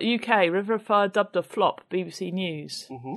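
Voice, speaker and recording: With an English accent, a woman speaks at a moderate pace and a medium pitch. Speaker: podcast co-host. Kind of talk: casual chat.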